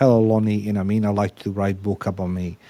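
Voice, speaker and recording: A man's dark, mellow tone at a fairly low pitch, in monotone, flat intonation and at a fairly quick pace. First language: not English. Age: 50s. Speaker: podcast host. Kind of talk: interview conversation. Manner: halting, repetitive.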